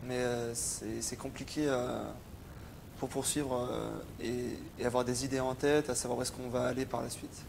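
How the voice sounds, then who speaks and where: Audible room echo surrounds a man speaking at medium pitch with monotone, flat intonation. He keeps a moderate pace, broken by long, frequent pauses. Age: 20s. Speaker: psychiatric patient. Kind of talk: testimony. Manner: halting, many hesitations.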